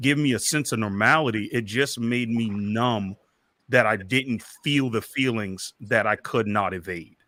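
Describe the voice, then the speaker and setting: A loud man's voice, bright and sharp in tone, at medium pitch with ordinary variation and a fairly slow pace, on a very clean recording with a silent background. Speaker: podcaster and interview guest. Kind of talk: candid interview conversation about mental health. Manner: loud, boisterous.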